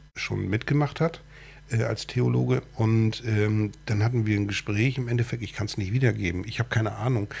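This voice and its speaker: Speaking at a moderate pace, a man has a fairly low pitch. His pitch varies in an ordinary way. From northern Germany, Cuxhaven. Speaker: talk show host. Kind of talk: casual interview chat. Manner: halting, many fillers.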